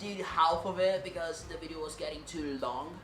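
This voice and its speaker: Music plays in the background. A man talks with a high pitch. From Brazil. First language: Portuguese. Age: 20s. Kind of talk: casual talk to camera.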